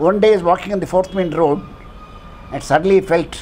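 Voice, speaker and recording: Here a man talks at a very fast pace with fairly even intonation over light background noise. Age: old. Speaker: senior citizen endorsing a candidate. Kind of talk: political endorsement testimonial. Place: home room. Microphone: lapel.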